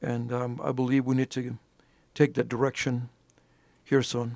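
A man with an American accent at a moderate pace, the sound dry and close with no echo. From Alpine, West Texas. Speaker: ordained minister and county judge candidate. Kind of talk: interview.

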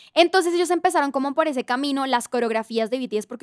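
A woman's voice at a very fast pace with lively intonation, on a very clean recording with a silent background and a dry, close sound with no echo. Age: 30s. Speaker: audio content operations coordinator. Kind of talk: casual chat.

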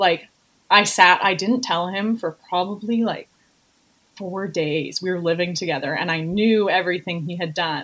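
A woman's fairly low voice with a western Canadian accent. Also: ordinary pitch variation, moderate pace. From Canada, Vancouver Island (Campbell River). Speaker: entrepreneur. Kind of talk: casual interview.

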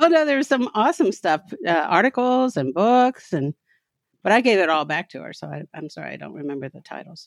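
With an American accent, a woman talks at a fairly quick pace and medium pitch, showing vocal fry and very wide pitch swings in a dry, close sound with no echo. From US South, Kentucky. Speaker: professor and writer. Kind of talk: personal testimony in interview. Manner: halting, many fillers.

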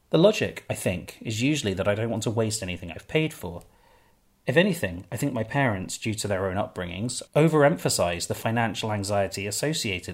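A man talks at a fairly quick pace in a normal speaking voice. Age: 30s. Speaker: podcast host and memoirist. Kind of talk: scripted narration.

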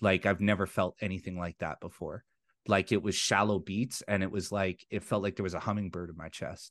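A man speaks in a plain, everyday voice, fairly low in pitch, at a fairly quick pace. His intonation is fairly even, and the sound is dry and close with no echo. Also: quiet background. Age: 40s. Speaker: podcast host. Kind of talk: casual chat.

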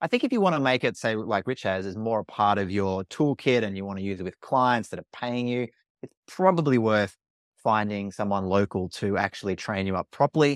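A man with an Australian accent talks at a fairly quick pace, his pitch fairly low with ordinary variation. The recording is very clean with a silent background, and the sound is dry and close with no echo. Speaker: workshop facilitator. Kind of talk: casual interview chat.

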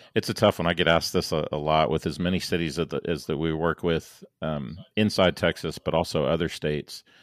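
Delivered at a fairly quick clip with hardly any pauses, the voice has vocal fry and fairly even intonation, recorded with a dry, close sound and no echo. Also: man, very deep, low pitch for a man. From born in St. Louis, Missouri; now in Dallas. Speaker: civil engineer and planning consultant. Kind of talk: casual interview conversation.

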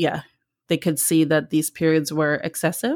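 The recording of this woman is very clean, and the background is silent. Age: 40s. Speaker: podcast host sharing health story. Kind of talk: personal testimony in interview. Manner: young-sounding.

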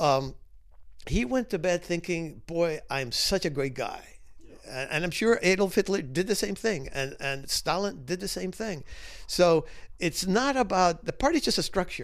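A high-pitched male voice with lively intonation, on a very clean recording against a silent background. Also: moderate pace. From Cuba, emigrated to the US as a child. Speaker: author and former intelligence analyst. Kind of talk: interview conversation.

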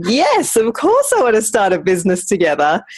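Intonation is lively as a woman speaks with an Australian accent. Her pace is moderate. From Brisbane, Australia. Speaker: business co-founder, former PR professional. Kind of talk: casual interview chat.

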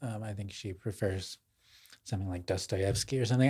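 A somewhat breathy voice with an American accent keeps its intonation fairly even. The recording is very clean, with a silent background. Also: man. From US suburbs. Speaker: podcast co-host, literary writer. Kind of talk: casual intellectual conversation.

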